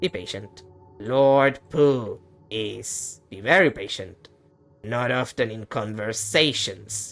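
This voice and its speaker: Over faint background music, a man uses a put-on character voice at a medium pitch and a very slow pace. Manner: slow, deliberate.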